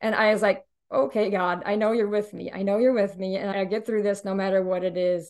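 An unremarkable speaking voice with an American accent, talking at a fairly quick pace with fairly even intonation. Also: woman, medium pitch for a woman. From Indiana. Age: 50s. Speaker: widow sharing her story. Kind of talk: interview testimony.

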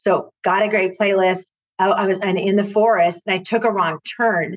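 Delivery is at a moderate pace. There's no echo, and the sound is dry and close. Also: woman. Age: 50s. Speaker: marketing professional and client. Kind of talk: casual chat.

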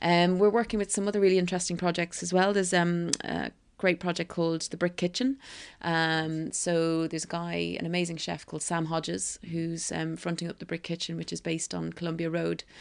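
A woman with an Irish accent, fairly low in pitch, at a fairly quick pace with fairly even intonation, against a quiet background. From Ireland, County Kildare. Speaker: restaurant co-founder. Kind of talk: interview conversation. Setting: at home on a houseboat.

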